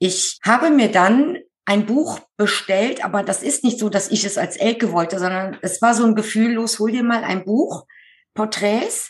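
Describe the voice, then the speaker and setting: A woman speaks at a fairly slow pace. Her voice is somewhat breathy, with ordinary pitch variation. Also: fairly high pitch for a woman. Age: 50s. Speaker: medium who draws portraits of the dead. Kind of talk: interview.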